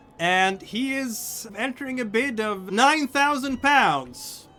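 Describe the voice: Music sits in the background while a man speaks at a very slow pace.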